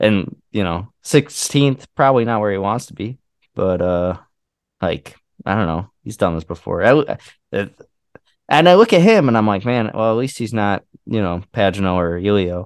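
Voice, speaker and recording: Lively intonation marks this man's fairly low pitch and moderate pace in an American accent. The sound is dry and close with no echo, over a quiet background. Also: big swings in loudness. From Indiana/Illinois border area, US Midwest. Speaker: podcast co-host. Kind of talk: casual chat.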